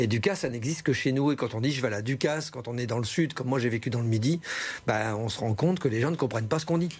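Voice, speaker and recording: In a northern French accent, the speaker talks at a very fast pace with ordinary pitch variation. The voice is somewhat breathy. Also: man, medium pitch for a man. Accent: northern French accent, kept. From northern France, Lille. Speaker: humorist and radio columnist. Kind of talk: TV interview.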